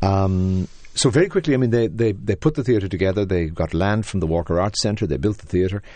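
An Irish-accented man speaks at a very fast pace, his fairly low voice dark and mellow with ordinary pitch variation, over a quiet background. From Ireland. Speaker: theater artistic director. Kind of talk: interview. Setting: studio.

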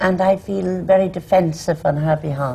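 Speaking with an Irish accent, a woman with a fairly low, somewhat breathy voice and a dark, mellow tone uses lively intonation. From Ireland. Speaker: actress. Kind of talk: panel discussion.

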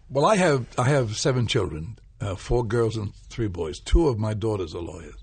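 A somewhat breathy man speaks at a moderate pace, his pitch swinging very widely. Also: medium pitch for a man. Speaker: stage actor. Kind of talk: casual chat.

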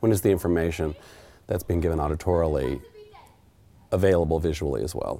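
A very fast-talking man with an American accent, very deep, low pitch and ordinary pitch variation, long and frequent pauses, and noticeable background noise. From Oklahoma. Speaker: theater sign language interpreter. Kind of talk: interview monologue.

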